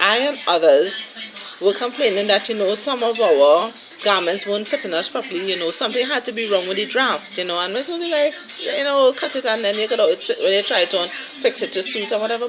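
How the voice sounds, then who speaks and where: Very wide pitch swings from a woman with a fairly high voice, a fairly quick pace and noticeable background noise. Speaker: vlogger. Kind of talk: casual vlog chat.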